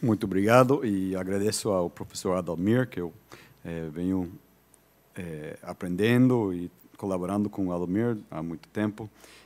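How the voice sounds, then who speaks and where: A man speaks with a very deep, low pitch at a moderate pace, his pitch varying in an ordinary way, in a very clean recording with a silent background. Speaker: visiting professor. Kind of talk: lecture. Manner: halting, many fillers and repetitions.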